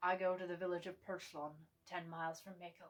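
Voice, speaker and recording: Putting on a character voice, a woman speaks fairly quickly in a gravelly, medium-pitched monotone with flat intonation. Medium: read story.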